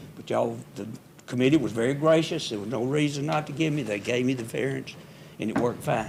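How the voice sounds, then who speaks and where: A man talks at medium pitch with ordinary pitch variation. Room echo is audible. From US South, Hernando, Mississippi. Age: 80s+. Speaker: resident speaking at public hearing. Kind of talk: public comment at city meeting. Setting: city hall board room meeting.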